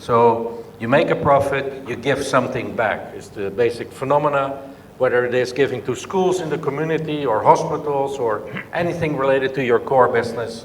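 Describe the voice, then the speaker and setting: There is audible room echo and noticeable background noise as a man talks at a moderate pace, his fairly high pitch held to fairly even intonation. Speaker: business leader. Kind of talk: conference speech. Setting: conference session with audience.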